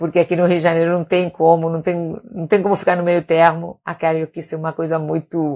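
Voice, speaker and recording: A woman's dark, mellow voice with a Catalan accent, fairly low in pitch, fairly quick with hardly any pauses, in a monotone, flat intonation. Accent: Spanish (Catalan-tinged) accent in Portuguese. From Spain, Palma de Mallorca (Balearic Islands). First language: Catalan and Spanish (speaking Portuguese). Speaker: doctor. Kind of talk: casual live stream talk. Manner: hesitant, many repetitions.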